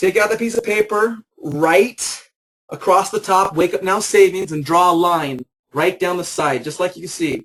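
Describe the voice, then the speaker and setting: The speaker is a man with a high pitch. His pitch varies in an ordinary way. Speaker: business opportunity presenter. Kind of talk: sales pitch. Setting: webinar. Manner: fast; animated.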